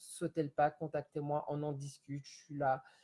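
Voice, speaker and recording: A man speaks with a fairly high, somewhat breathy voice. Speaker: home sales consultant for candles. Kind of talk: live-stream sales pitch. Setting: Facebook live video from home. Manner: halting, stammering.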